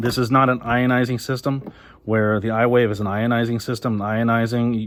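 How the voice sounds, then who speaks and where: At a fairly quick pace, a man talks with medium pitch. His intonation is monotone and flat. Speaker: HVAC technical trainer. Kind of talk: product unboxing tutorial. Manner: fast; casual, with fillers.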